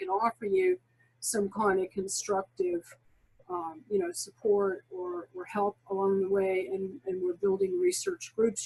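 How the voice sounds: A woman talks at a fairly slow pace with an extremely high pitch, big pitch swings and vocal fry. Her tone is slightly mellow.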